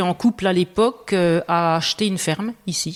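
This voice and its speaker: A woman speaks with a Franche-Comté accent. The sound is dry and close, with no echo. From Franche-Comté, Belfort. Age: 50s. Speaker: farmer. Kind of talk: interview conversation. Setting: room under renovation. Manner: hesitant, many fillers.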